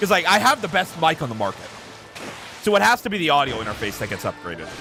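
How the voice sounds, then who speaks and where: A man talks at a very fast pace. His pitch swings very widely while music plays in the background. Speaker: gaming streamer. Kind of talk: livestream gameplay commentary. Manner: casual, conversational.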